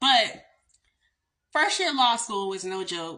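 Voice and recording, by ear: In a Southern US accent, a woman speaks slowly at a medium pitch, with a bright, sharp tone and big pitch swings.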